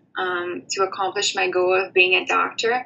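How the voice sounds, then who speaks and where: A woman speaks in a Portuguese accent at a medium pitch and a moderate pace. Her intonation is monotone and flat, with noticeable background noise. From Brazil, São Paulo state. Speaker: former college student, aspiring doctor. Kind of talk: personal testimony. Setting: remote recording from abroad.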